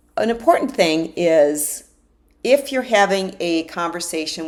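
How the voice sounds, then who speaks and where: Her pitch fairly low and her intonation lively, this woman has an unremarkable speaking voice. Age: 60s. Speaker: life coach. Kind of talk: self-help talk.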